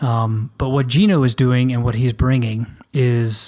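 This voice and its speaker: In an American accent, a man talks with fairly even intonation at a medium pitch, in a plain, everyday voice. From US South. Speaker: podcast co-host. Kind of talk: casual podcast intro chat.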